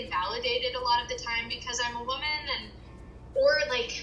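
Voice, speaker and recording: A woman talks with an American accent. Room echo is audible. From US, Virginia. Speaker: interviewee sharing mental health experience. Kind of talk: interview. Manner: casual, many fillers.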